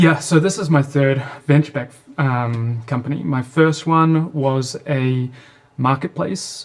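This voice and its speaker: Speaking in a New Zealand accent, a man uses a fairly high pitch and ordinary pitch variation at a fairly slow pace. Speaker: startup founder and CEO. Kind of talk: interview.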